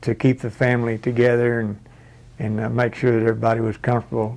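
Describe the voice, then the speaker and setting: With an American accent, this man speaks at a fairly quick pace and a medium pitch, his intonation monotone and flat. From Texas. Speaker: interviewee, family elder. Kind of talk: oral history interview. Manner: halting, with many fillers.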